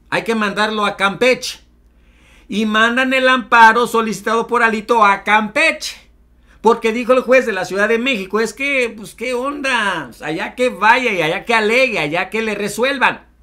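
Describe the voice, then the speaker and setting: A man with a Mexican accent talks at a moderate pace in a high, raised, projected voice with a bright, sharp, animated tone. His pitch variation is ordinary, and the background is quiet. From Mexico. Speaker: political commentary YouTuber. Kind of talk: news commentary. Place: home room.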